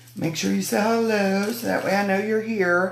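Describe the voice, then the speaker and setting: Medium-pitched female voice in audible room echo. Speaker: craft demonstrator. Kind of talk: live stream craft demo chat. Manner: chatty, casual.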